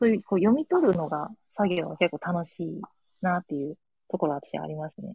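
Heard in a dry, close sound with no echo, a woman with a dark, mellow tone talks at a fairly quick pace, with ordinary pitch variation and big swings in loudness. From Japan, Kagawa. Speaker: guest, parent of two young children. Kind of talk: casual chat. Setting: remote call from home with earbuds.

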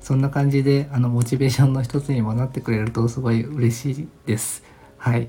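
A man talks at a fairly quick pace in a flat monotone. His tone is dark and mellow, somewhat breathy. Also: medium pitch for a man. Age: 40s. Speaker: design company owner, podcast host. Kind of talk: solo podcast monologue, self-introduction. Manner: relaxed, laid-back; polite, with many filler words.

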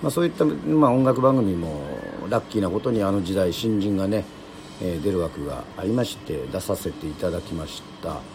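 Noticeable background noise behind a man with a fairly low pitch, very wide pitch swings and a fairly quick pace. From Yoron Island, Kagoshima, Japan. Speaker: radio host and musician. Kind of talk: casual livestream radio chat. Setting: livestream from his snack bar. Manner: formal filler-heavy host patter.

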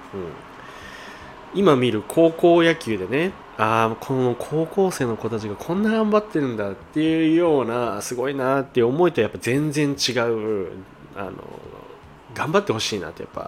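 This man's voice sits at a medium pitch and swings very widely up and down at a moderate pace. Noticeable background noise runs underneath. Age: 20s. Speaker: eyewear shop manager and podcast host. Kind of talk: solo casual chat. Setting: shop before opening.

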